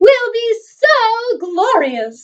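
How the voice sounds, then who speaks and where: In a put-on character voice, a woman squeaks at an extremely high pitch. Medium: read story. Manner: clucky, chattering.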